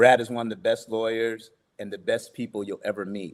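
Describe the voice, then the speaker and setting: A man's medium-pitched, ordinary speaking voice. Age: 60s. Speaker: podcast host. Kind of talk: interview conversation.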